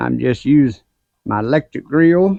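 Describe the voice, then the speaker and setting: A Southern US accent colors this voice. The speaker is a man. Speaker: gardening YouTuber. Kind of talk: casual vlog talk. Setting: outdoors at grill. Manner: folksy, conversational.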